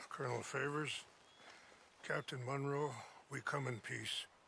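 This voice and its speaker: Using a raspy, put-on character voice at a medium pitch, a man speaks at a moderate pace in a monotone, flat intonation against clear background noise. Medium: video game.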